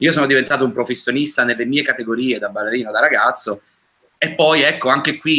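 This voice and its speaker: The voice is bright and sharp, very fast, with ordinary pitch variation. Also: man. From Naples, Italy. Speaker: singer. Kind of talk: interview.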